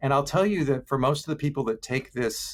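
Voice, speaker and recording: This man has an ordinary speaking voice, pitched in the middle range, and his pitch rises and falls a normal amount. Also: very clean recording, silent background. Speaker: filmmaker presenting a loneliness quiz. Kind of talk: virtual presentation.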